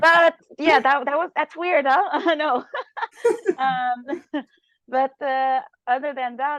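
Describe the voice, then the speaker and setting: A woman's high-pitched voice at a very slow pace, with ordinary pitch variation and long, frequent pauses. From Quebec, Montreal. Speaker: juice fasting guest. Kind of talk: interview testimony. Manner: hesitant, many fillers.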